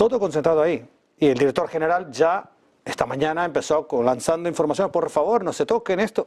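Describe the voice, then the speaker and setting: A man with an Argentine accent talks at a fairly quick pace in a fairly high pitch. His intonation is lively and his loudness very even. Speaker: geopolitics expert. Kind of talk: TV interview.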